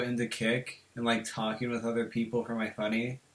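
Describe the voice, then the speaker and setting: The speech runs at a moderate pace. Background noise is noticeable throughout. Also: man. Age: 18. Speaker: podcast host. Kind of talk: casual chat.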